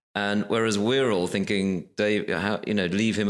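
Speaking at a moderate pace, a man uses a normal speaking voice pitched fairly low. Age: 50s. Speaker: television executive. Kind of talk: casual chat. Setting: office room.

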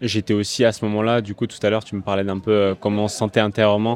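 Speaking at a very fast pace, a man with a fairly low voice keeps his intonation monotone and flat. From Corsica. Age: 20s. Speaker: professional tennis player. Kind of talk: interview. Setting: player lounge at a tournament.

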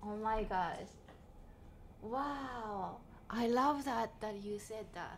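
Speech moves at a very slow pace with long, frequent pauses and ordinary pitch variation. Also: woman, fairly high pitch for a woman. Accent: Japanese. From Japan. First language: Japanese. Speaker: comedian. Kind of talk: casual chat.

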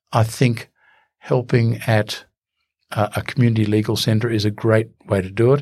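In an Australian accent, a man speaks at a moderate pace and a medium pitch. His intonation is monotone and flat. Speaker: human rights barrister. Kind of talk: interview. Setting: studio.

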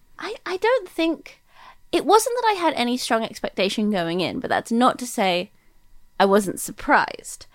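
A woman speaks with an American accent. Her high voice moves in very wide pitch swings. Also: moderate pace. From Britain. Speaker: novelist. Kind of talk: casual interview.

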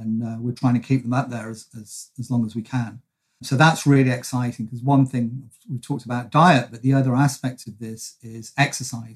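A man with a British accent talks at a fairly quick pace and medium pitch, somewhat breathy and monotone, flat in intonation, with big swings in loudness. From England. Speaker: nutrition and brain researcher. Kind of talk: expert interview. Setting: video call.

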